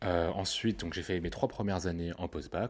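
A man with a very deep, low pitch talks at a fairly quick pace on a very clean recording with a silent background. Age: 20s. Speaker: podcaster. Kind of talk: casual monologue. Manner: halting.

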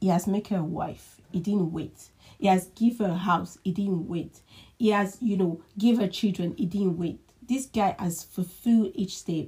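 At a fairly slow pace, a woman with a medium pitch and a somewhat breathy, dark, mellow tone speaks with ordinary pitch variation. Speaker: podcast co-host. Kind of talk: casual chat.

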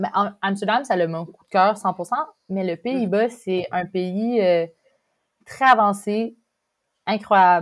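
In a very clean recording with a silent background, a woman speaks very slowly at medium pitch with ordinary pitch variation. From Quebec, Montreal. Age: 20s. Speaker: exchange student. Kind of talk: casual chat.

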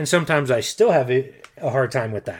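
A normal speaking voice with an American accent and lively intonation, in a very clean recording against a silent background. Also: man. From Colorado, US (Denver). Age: 40s. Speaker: podcast co-host. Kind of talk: personal testimony.

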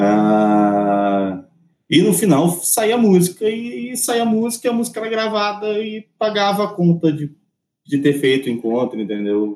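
At a fairly slow pace, a man with a high voice talks in very wide pitch swings. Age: 30s. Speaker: music industry artist and repertoire manager. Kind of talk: casual interview chat. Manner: halting, many repetitions.

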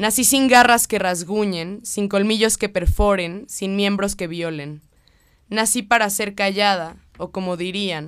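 A woman talks at a medium pitch and a fairly slow pace. The recording is very clean, with a silent background. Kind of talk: spoken word poetry reading. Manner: declamatory, rhythmic, impassioned delivery.

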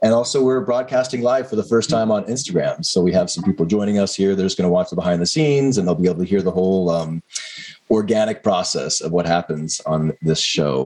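Over noticeable background noise, a man talks at a very fast pace in a fairly low pitch with lively intonation.

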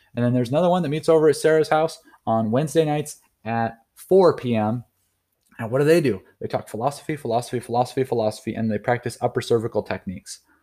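In a very clean recording with a silent background, a man with an American accent talks at a very fast pace, his medium-pitched voice dark and mellow in tone with ordinary pitch variation. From North Idaho. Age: 30s. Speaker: podcast host and chiropractic student. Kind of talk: solo monologue podcast. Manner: casual, with frequent fillers.

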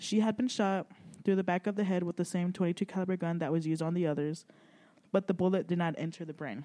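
Someone talks at a very fast pace with an American accent. The background is quiet. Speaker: podcast host. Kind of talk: casual chat.

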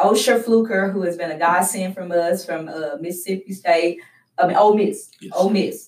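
A woman speaks with a Southern US accent. Her pitch is fairly low. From West Tennessee. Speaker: youth program director. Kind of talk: interview.

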